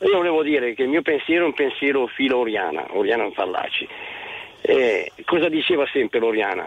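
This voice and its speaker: Over noticeable background noise, a man speaks fairly quickly at a very even loudness. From Lecco, Lombardy, Italy. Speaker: radio caller. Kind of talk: phone-in opinion.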